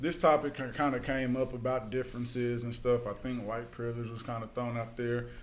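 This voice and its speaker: A man talks at a fairly quick pace with a medium pitch. He hardly pauses at all. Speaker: youth mentor doing home visits. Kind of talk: casual chat.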